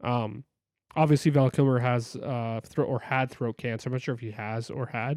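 A man has a normal speaking voice, a medium pitch and fairly even intonation at a moderate pace. The recording is very clean, with a silent background, and the sound is dry and close with no echo. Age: 30s. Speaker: movie podcast co-host and photographer. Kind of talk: casual chat.

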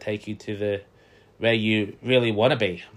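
Here a man speaks with an Australian accent at a moderate pace. His pitch is fairly low. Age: 20s. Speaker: podcast host. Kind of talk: casual solo podcast monologue.

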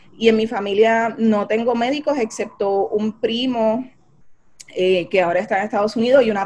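At a moderate tempo and with ordinary pitch variation, the clip presents an ordinary speaking voice. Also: woman. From Puerto Rico, Carolina. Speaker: physician, physiatrist. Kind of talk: interview about her life story.

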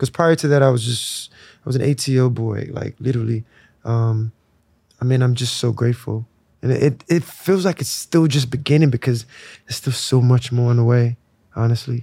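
Somewhat breathy, with a dark, mellow tone, a man speaks with an American accent at a moderate pace and fairly even intonation. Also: medium pitch for a man, dry, close sound with no echo. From Nigeria (Lagos). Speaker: musician. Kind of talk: casual chat. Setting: outdoors.

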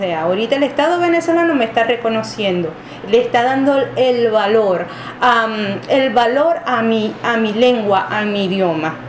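A woman talks at a moderate pace with lively intonation and a fairly high pitch. Audible room echo and noticeable background noise come through. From Venezuela, Wayuu people. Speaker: university lecturer. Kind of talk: interview. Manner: halting, many fillers.

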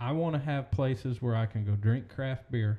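A man's voice, dark and mellow with some breathiness, moves along at a moderate pace. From Oklahoma. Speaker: podcast host, real estate agent. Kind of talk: casual chat.

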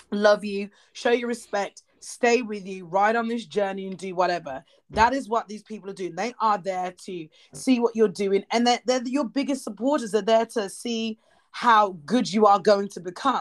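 Medium pitch from a woman at a moderate speed, the pitch moving in ordinary ways

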